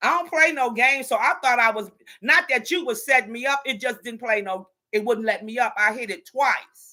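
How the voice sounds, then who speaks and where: In a very clean recording with a silent background, a woman with a high pitch and a bright, sharp, animated tone talks at a moderate pace with ordinary pitch variation. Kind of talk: casual chat.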